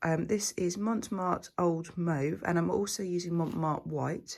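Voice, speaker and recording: Speaking quietly and very slowly, a woman uses a fairly low pitch with ordinary pitch variation in a very clean recording with a silent background. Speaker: fluid art painter. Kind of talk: tutorial. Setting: at home. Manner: hesitant, many fillers.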